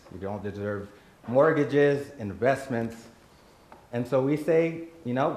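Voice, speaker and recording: A man speaks with an American accent and lively intonation. Noticeable background noise runs underneath. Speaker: nonprofit president, panel speaker. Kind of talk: personal talk at community event.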